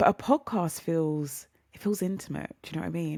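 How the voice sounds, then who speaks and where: A woman with a British accent, an animated tone and a fairly quick pace. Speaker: podcast host. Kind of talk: casual monologue. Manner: chatty, animated.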